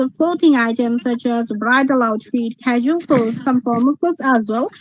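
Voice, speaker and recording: A woman speaks with a high pitch. Her pitch varies in an ordinary way. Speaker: student visa applicant. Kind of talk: mock visa interview. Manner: halting, many fillers.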